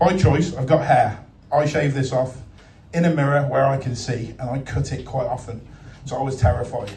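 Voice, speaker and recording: A man speaks at a medium pitch with ordinary pitch variation. His pace is moderate, and the room echo is audible. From Worcester, West Midlands England. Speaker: comedian. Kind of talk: stand-up. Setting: stage with audience. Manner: animated.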